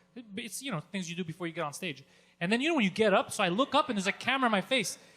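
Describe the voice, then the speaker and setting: A man's high, raised, projected voice, animated and racing at a very fast pace. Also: lively intonation. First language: not English (English is third language). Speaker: comedian. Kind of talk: casual chat.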